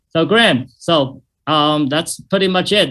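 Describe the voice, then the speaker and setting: With ordinary pitch movement, a man talks fairly slowly. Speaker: doctor giving a health presentation. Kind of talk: webinar presentation. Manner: hesitant, many fillers.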